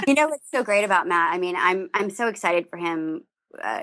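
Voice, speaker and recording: A woman at a medium pitch with an American accent. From US South. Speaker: voice actress. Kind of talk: podcast interview.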